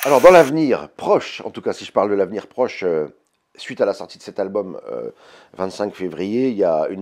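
A man over a quiet background. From France. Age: 50s. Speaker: blues guitarist and singer. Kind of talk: interview answers. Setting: label office. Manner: hesitant, many fillers. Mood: warm, reminiscing, proud. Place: office.

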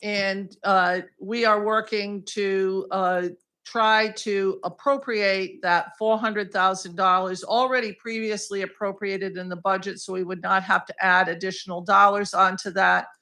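A loud, bright, sharp tone at a fairly slow pace, with fairly even intonation and hardly any pauses. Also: woman, medium pitch for a woman, quiet background. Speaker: state senator. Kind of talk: public comment at school board meeting. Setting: public meeting room with microphone. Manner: hesitant, many fillers.

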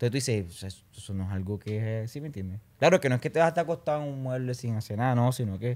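Talking at a very fast pace with hardly any pauses, a man keeps a medium pitch and ordinary pitch variation. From Colombia, Barranquilla; Colombia. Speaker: urban music singer; podcast guest. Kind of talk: casual interview chat. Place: studio. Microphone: studio mic.

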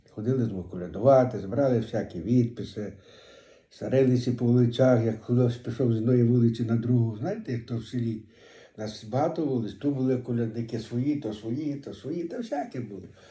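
A man in a western Ukrainian accent, medium in pitch with ordinary variation, dark and mellow in tone, somewhat breathy, at a moderate pace. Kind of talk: dialect interview answer. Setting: home recording.

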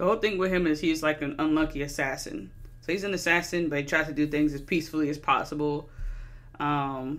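A woman's very deep, low voice at a fairly quick pace over music in the background. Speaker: movie reviewer. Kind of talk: casual review commentary. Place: home room. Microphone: studio mic.

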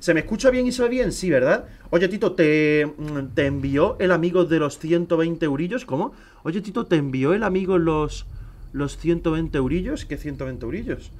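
Speaking with a Spanish accent, a man uses a high pitch and an animated tone. His intonation is lively and his pace moderate. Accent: Peninsular Spanish. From Spain. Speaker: gaming streamer. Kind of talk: live gameplay stream chat. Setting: live stream with camera. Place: home room.

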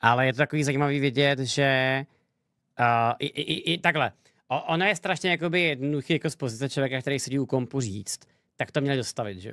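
A man talks at a very fast pace. The background is quiet and the sound is dry with no echo. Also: fairly high pitch for a man, ordinary pitch variation. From Czech Republic. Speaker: streamer reacting to a debate. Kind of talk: live stream reaction commentary. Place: home room. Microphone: studio mic.

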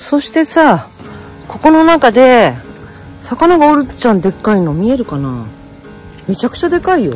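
With long, frequent pauses, a woman speaks at a moderate pace in a dry sound with no echo, faint music playing in the background. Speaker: travel vlogger. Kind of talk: casual vlog chat. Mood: excited, curious. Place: waterside. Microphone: phone near.

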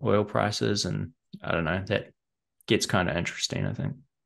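At a moderate pace, a man speaks with a fairly low pitch and big pitch swings. His tone is fairly bright, with vocal fry.

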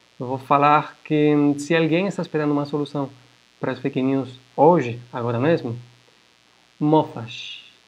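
A man with ordinary pitch variation talks slowly, at a fairly slow pace, in a fairly high pitch. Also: long, frequent pauses. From Florianópolis, Brazil. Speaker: university professor. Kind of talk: lecture. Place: home room. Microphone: webcam.

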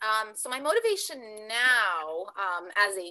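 Canadian accent from a woman, fairly high-pitched, with a bright, sharp tone and lively intonation. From Canada, Ontario. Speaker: pageant titleholder; guest. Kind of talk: interview. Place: home room. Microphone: video call.

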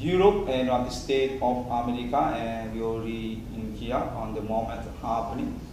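A man talks at a moderate pace with hardly any pauses. Audible room echo and noticeable background noise surround his voice. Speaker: video blogger. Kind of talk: rambling monologue. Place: empty room. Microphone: phone near.

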